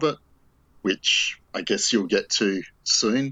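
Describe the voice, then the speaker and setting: Speaking very slowly with an Australian accent, a man uses ordinary pitch variation. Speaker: film fan, online group admin. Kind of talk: casual conversation, film discussion.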